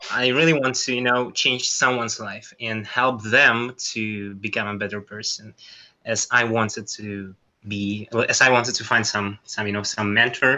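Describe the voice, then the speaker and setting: Speech in a non-native accent comes at a moderate pace with fairly even intonation. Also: man, medium pitch for a man. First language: not English. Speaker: workshop participant. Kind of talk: group discussion. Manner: halting.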